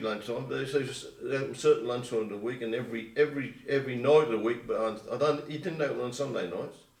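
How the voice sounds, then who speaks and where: A man with an Essex accent speaks very fast amid audible room echo. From England, Colchester, Essex. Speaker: oral history interviewee. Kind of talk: oral history interview. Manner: halting.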